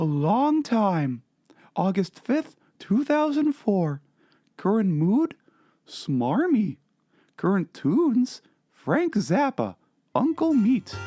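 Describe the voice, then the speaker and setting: A put-on character voice at a fairly high pitch moves at a very slow pace, with very wide pitch swings and long, frequent pauses. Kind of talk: dramatic reading of a comedy blog.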